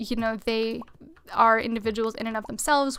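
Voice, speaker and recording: The voice is loud, and its intonation is monotone and flat. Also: woman. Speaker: gaming streamer. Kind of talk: live gameplay stream chat.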